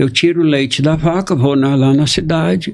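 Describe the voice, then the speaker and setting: His voice is somewhat breathy. The man's pitch sits fairly high. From Brazil. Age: 60s. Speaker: journalist and family constellation facilitator. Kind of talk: interview storytelling.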